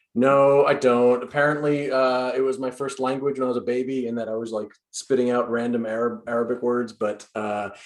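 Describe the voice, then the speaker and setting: A man with an American accent and an unremarkable speaking voice talks at a fairly quick pace with fairly even intonation and hardly any pauses. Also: medium pitch for a man. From New York. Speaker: improv performer. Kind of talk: casual post-show chat.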